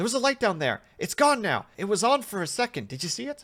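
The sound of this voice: Fast and with big pitch swings, a man puts on a character voice that is high-pitched with a fairly bright tone.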